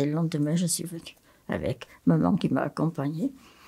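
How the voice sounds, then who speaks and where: Her voice is fairly low in pitch for a woman, with a dark, mellow tone. She keeps a moderate pace and ordinary pitch variation. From France, Haute-Loire. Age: 80s+. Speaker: nun and retired psychiatric nurse. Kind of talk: testimony.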